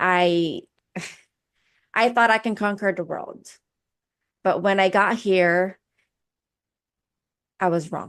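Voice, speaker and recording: A woman with a Filipino accent speaks at a medium pitch and a very slow pace. Her long pauses come often against a quiet background. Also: fairly even intonation. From Philippines. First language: Filipino language. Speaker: personal development coach. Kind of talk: interview.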